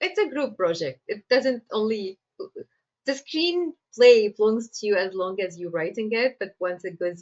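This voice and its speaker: Speaking in an Egyptian accent, a woman uses a fairly high pitch at a moderate pace, with very wide pitch swings. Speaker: screenwriter. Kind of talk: interview.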